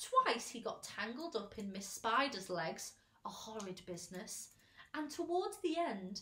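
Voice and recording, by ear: The text is read aloud in a natural voice.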